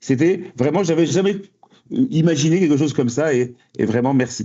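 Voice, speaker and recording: A man talks with a lively intonation, keeping his pace moderate. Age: 60s. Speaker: high school principal. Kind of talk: podcast interview. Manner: hesitant, repeats words.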